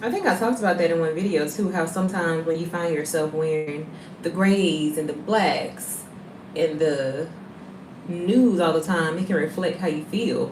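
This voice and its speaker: A woman with a Southern US accent talks at a moderate pace. Audible room echo and noticeable background noise come through. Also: fairly low pitch for a woman, ordinary pitch variation. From US South. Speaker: beauty livestreamer. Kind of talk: casual livestream makeup tutorial.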